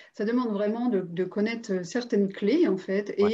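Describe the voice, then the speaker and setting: Fairly even intonation and a fairly slow pace come through over a quiet background. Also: woman. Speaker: interviewer and coach. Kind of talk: interview, casual and warm. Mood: warm, admiring. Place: home room. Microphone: video call.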